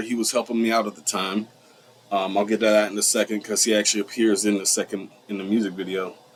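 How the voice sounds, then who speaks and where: A man amid noticeable background noise. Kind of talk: casual vlog storytelling. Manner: hesitant, many filler ums.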